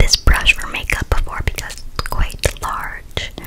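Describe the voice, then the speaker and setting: A woman whispers at a fairly slow pace. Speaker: ASMR creator. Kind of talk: soft-spoken ASMR chat. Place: home room. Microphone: studio mic.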